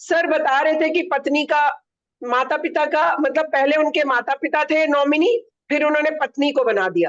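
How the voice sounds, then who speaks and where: A woman's high-pitched voice at a fairly slow pace, with ordinary pitch variation and very even loudness. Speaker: human rights activist; event co-organiser. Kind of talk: vote of thanks in a webinar. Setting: online webinar.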